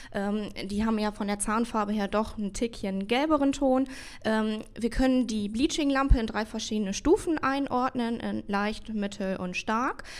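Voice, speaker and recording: A woman talks in a plain, everyday voice, fairly high in pitch with ordinary pitch variation. She speaks at a fairly slow pace. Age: 20s. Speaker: dental assistant and bleaching specialist. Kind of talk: interview answers.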